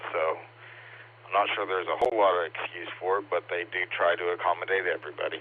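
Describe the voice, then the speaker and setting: A man rushes along at a very fast pace with noticeable background noise behind him. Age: 40s. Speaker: amateur radio operator. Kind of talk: casual chat.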